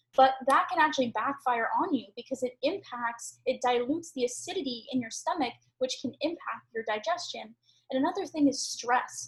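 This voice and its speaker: A woman speaks in an animated tone at a high pitch, with ordinary pitch variation. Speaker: health coach. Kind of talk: online training lesson. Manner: fast.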